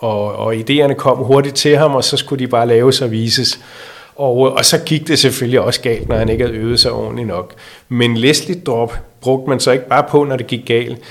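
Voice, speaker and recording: An ordinary speaking voice from a man, medium in pitch, with fairly even intonation at a moderate pace. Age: 60s. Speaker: magician. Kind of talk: interview.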